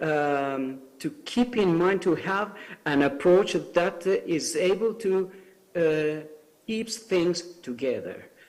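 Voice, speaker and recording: With noticeable background noise, a man speaks very slowly at a high pitch with ordinary pitch variation. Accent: Italian. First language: Italian. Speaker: civil society speaker. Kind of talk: panel talk. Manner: halting, many fillers.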